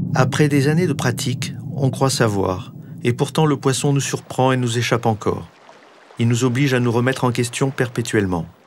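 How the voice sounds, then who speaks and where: A man with an ordinary speaking voice talks at a medium pitch, with ordinary pitch variation and very even loudness. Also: moderate pace. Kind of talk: scripted narration. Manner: formal.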